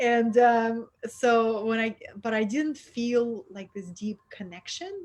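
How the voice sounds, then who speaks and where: In a Russian accent, a woman speaks at a very slow pace with a fairly high pitch, ordinary pitch variation and big swings in loudness. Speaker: spiritual mentor. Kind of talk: interview. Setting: online video call.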